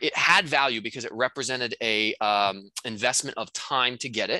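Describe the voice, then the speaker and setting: The background is quiet. A man's tone comes through bright and sharp. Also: dry sound with no echo. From North Dakota. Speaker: real estate course instructor. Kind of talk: casual chat; tutorial. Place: home room. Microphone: headset.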